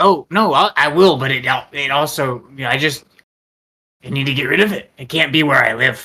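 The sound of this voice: A raspy man's put-on character voice. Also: fairly high pitch for a man, moderate pace.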